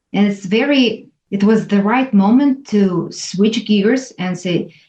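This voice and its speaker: A woman's medium-pitched, somewhat breathy voice with a dark, mellow tone, a fairly slow pace and a Russian accent. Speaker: former corporate lawyer. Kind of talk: interview answer.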